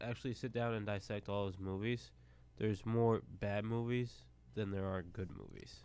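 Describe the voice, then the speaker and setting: A man with an American accent speaks at a fairly low pitch in a dark, mellow tone with fairly even intonation. The recording is very clean, with a silent background. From upstate New York. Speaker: athletic communications staffer. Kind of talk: casual chat. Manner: slow; calm.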